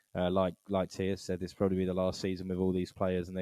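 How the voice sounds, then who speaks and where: A man with an English accent has a very deep, low pitch and a dark, mellow tone. The sound is dry and close, with no echo. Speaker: football podcast host. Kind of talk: casual chat. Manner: monotone.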